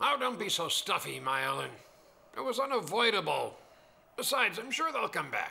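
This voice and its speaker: A man puts on a cartoonish character voice, high in pitch, at a moderate pace. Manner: breezy, lighthearted.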